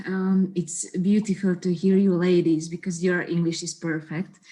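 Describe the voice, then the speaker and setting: A woman's dark, mellow voice at medium pitch, with a non-native accent and a fairly slow pace. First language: not English. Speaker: actress. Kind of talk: festival Q&A. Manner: halting.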